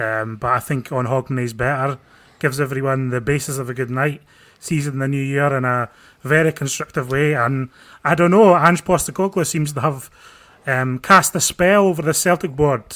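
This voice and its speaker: A man with an unremarkable speaking voice and ordinary pitch variation keeps a moderate pace in a very clean recording with a silent background. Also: fairly high pitch for a man. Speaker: football podcast host. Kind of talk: casual chat. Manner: dry, sarcastic humour.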